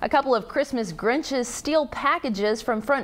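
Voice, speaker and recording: She has a normal speaking voice. The woman's intonation is lively and her pace moderate. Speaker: TV news anchor. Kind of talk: TV news anchor read.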